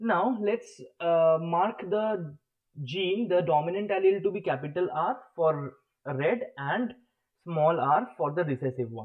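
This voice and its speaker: A man's high-pitched voice, fairly slow, with lively intonation. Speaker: online biology teacher. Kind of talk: live online lecture.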